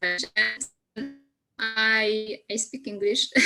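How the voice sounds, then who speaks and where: A fairly high-pitched woman's voice with music in the background. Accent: Polish. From Poland. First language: Polish. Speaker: career coach. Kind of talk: testimony. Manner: halting.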